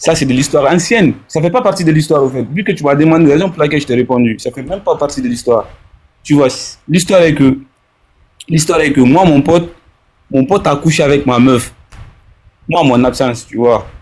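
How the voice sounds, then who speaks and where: Speaking at a fairly quick pace yet with long, frequent pauses, a man uses a fairly high pitch and ordinary pitch variation. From Africa. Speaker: caller, bakery worker. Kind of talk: call-in advice conversation. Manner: halting, repetitive.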